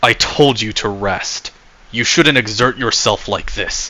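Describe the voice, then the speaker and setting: A man puts on a growling character voice at medium pitch. He talks at a fairly slow pace. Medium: read story. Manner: calm, measured.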